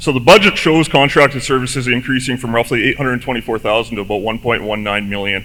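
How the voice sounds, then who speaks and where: With hardly any pauses, a man speaks at a very fast pace, his medium pitch showing ordinary variation. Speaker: resident asking questions at town hall. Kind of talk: public meeting question. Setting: town hall meeting with microphone. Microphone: too close to mic, echoes.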